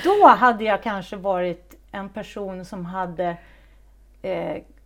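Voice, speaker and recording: With ordinary pitch variation and a medium pitch, a woman talks very slowly. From Stockholm, then Säffle, Värmland. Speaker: actress. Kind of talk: interview. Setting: at her home. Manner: halting.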